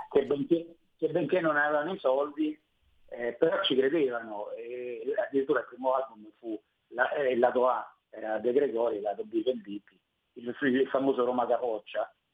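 The pace of this man's speech is moderate. He has a medium pitch that varies in an ordinary way. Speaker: rapper. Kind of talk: interview. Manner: halting.

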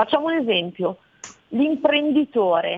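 Lively intonation from a woman, her delivery fairly slow. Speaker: trust consultant. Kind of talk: interview. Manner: explanatory.

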